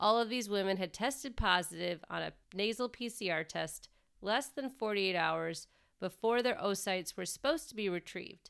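On a very clean recording with a silent background, a woman speaks at a moderate pace and medium pitch. Her intonation is lively, and she has vocal fry. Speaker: podcast host, pharmacist. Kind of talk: scripted narration.

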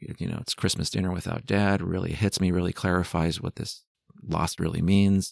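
A man with an American accent, very deep low pitch, moderate pace, and a very clean recording over a silent background. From California, San Jose. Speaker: psychologist, hospital family support director. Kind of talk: interview conversation. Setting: studio.

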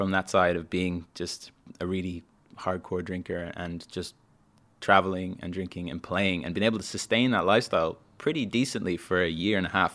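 Speaking with a Dublin accent, a man has a very deep, low voice and ordinary pitch variation. He talks at a fairly quick pace on a very clean recording with a silent background. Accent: Dublin Irish. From Ireland, Dublin. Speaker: musician. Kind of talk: casual chat.

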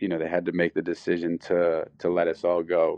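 This man has a very deep, low voice and a Philadelphia accent. He speaks at a fairly slow pace. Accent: Philadelphia American. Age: 30s. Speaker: skateboarder and clothing designer. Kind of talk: interview. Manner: halting, many fillers.

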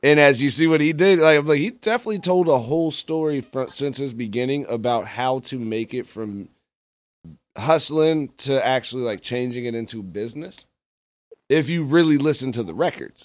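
In a very clean recording with a silent background, a man speaks in a normal speaking voice. His pitch is fairly high, his intonation lively, and his pace moderate. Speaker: radio host. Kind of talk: casual radio interview. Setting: studio.

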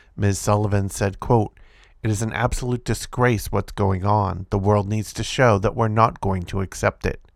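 The speaker has an unremarkable speaking voice and a moderate pace. The recording is very clean, with a silent background. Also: man. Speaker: podcast host reading news articles. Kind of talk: reading aloud a news article about protests, including quoted rally speech. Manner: occasional stumbles and self-corrections while reading.

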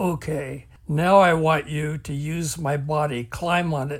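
A man puts on a character voice at a fairly high pitch. He goes fairly slowly, with fairly even intonation. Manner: quiet, urgent.

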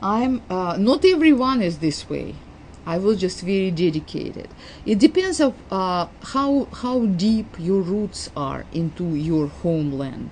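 A woman's somewhat breathy voice with a Russian accent, medium pitch, very wide pitch swings and a fairly slow pace. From Uzbekistan, Soviet Union. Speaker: immigrant and family therapist telling her life story. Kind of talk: interview telling life story. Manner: halting, hesitant with repeated words.

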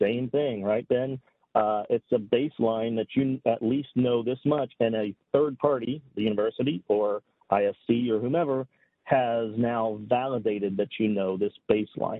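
At a fairly slow pace, an unremarkable speaking voice talks with fairly even intonation. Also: man, medium pitch for a man. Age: 40s. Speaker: cybersecurity executive. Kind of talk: casual chat.

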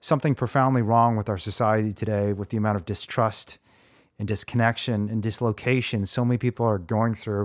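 Using a normal speaking voice with an American accent, a man talks at medium pitch and moderate pace with fairly even intonation, the sound dry and close with no echo on a very clean recording with a silent background. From US Midwest (central Indiana). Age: 40s. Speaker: podcast host.

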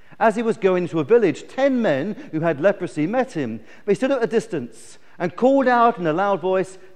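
The intonation moves in a lively way. It is a natural reading voice.

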